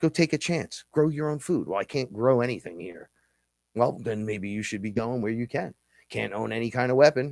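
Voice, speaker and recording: With a New York accent, a man of medium pitch speaks at a moderate pace with ordinary pitch variation. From New York City. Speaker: podcast host and musician. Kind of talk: casual monologue on live show. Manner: loud; animated.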